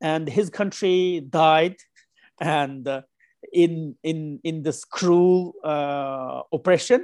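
A man with a fairly high pitch and a Xinjiang accent speaks at a very slow pace in a dry, close recording with no echo. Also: ordinary pitch variation. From Kashgar, Uyghur region (western China). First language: Uyghur. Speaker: writer and human rights activist. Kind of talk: interview. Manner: halting, many fillers.

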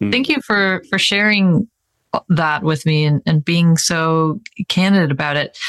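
A woman with a normal speaking voice and fairly low pitch talks at a fairly slow pace with lively intonation and very even loudness, in a dry, close sound with no echo. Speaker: podcast host. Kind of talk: casual interview chat.

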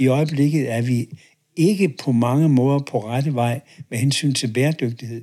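A man talks at a fairly slow pace. His voice is fairly high in pitch. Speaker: professor emeritus and author on leadership. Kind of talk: interview conversation. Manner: hesitant, many filler words.

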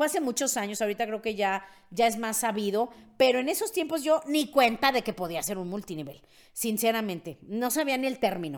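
A woman with a Mexican accent speaks in an animated tone at a fairly quick pace. Her fairly high pitch moves in very wide swings. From Mexico. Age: 50s. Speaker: podcast host, network marketing mentor. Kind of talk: casual monologue, personal story.

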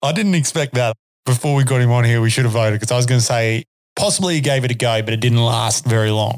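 A man's medium-pitched voice with an Australian accent, a very fast pace, very even loudness, ordinary pitch variation and a dry, close sound with no echo. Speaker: podcast host and horseman. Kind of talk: casual chat. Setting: studio.

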